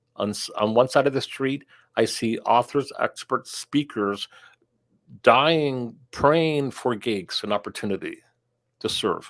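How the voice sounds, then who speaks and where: Speaking at a fairly slow pace, a man has medium pitch, ordinary pitch variation and an unremarkable speaking voice. The recording is very clean with a silent background, dry and close with no echo. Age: 60s. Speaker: sponsorship coach and speaker. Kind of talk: interview. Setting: live stream.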